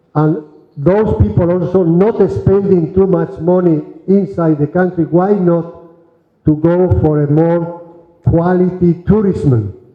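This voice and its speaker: A man with a high pitch speaks at a fairly slow pace, with ordinary pitch variation and very even loudness. Music plays in the background. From Spain. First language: Spanish. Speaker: diplomat, EU ambassador. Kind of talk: formal speech at event. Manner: halting.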